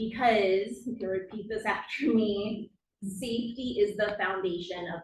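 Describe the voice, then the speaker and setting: At a fairly slow pace, a woman with a fairly high pitch talks in a somewhat breathy voice with fairly even intonation. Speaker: occupational therapist. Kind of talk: conference presentation. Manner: deliberately slowed speech.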